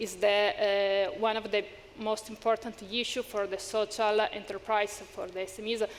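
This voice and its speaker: A woman with an Italian accent, fairly high pitched, at a fairly slow pace and with monotone, flat intonation. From Italy. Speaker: panelist, social enterprise support worker. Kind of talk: panel discussion. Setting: stage with audience. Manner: halting, many hesitations.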